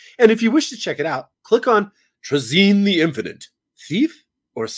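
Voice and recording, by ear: The intonation is lively as a passage is read aloud in a natural voice. Nothing can be heard in the background.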